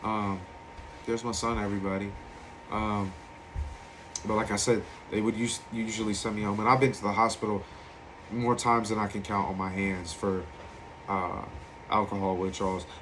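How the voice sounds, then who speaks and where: In an American accent, a man speaks at a moderate pace with a fairly low pitch and monotone, flat intonation, leaving long, frequent pauses. Audible room echo surrounds his voice. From Virginia Beach, Virginia, US. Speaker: recovering alcoholic sharing his story. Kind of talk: personal testimony.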